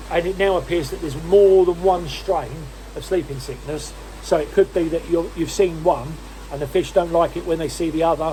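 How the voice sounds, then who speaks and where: A man is talking at a moderate pace. Background noise is noticeable throughout. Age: 60s. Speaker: koi dealer. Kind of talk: tutorial. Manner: casual.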